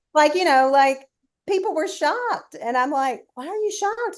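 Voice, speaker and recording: Her voice is high-pitched, with very wide pitch swings. The woman talks fairly quickly in a Southern US accent. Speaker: sports TV producer. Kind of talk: interview answer.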